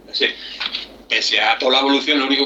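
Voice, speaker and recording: Noticeable noise sits behind speech delivered very fast. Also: man. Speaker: former software programmer for computer magazines. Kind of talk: interview.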